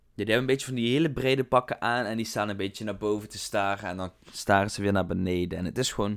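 On a very clean recording with a silent background, a man with a fairly low pitch speaks at a very fast pace with ordinary pitch variation and hardly any pauses. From Netherlands, not Limburg. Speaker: theme park podcast co-host. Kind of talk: casual chat. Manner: giggly, playful.

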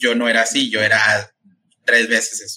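Pitch varying in an ordinary way, a man speaks at a moderate pace. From Mexico, Monterrey. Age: 30s. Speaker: pastor. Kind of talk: interview testimony.

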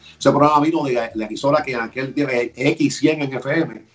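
Against noticeable background noise, a man speaks at a fairly high pitch. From Puerto Rico, Barranquitas. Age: 50s. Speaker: sports radio host. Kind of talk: casual interview.

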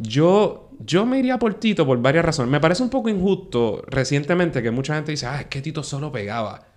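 Barely pausing, a man talks at a fairly quick pace in a fairly high voice with very wide pitch swings. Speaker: podcast host. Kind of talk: casual interview.

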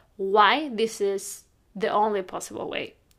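A woman speaks at a fairly high pitch with a Spanish accent. The recording is very clean, with a silent background. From northern Spain. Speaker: life coach. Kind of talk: podcast monologue.

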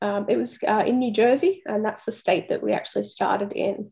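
Speaking with an Australian accent, a woman keeps a moderate pace. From Australia, Sydney (Sutherland Shire). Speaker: software company director. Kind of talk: interview.

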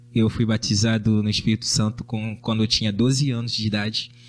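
A man talks at a medium pitch on a very clean recording, and the background is silent. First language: French / Lingala (speaking Portuguese). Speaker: student and missionary. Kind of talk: casual chat. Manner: halting.

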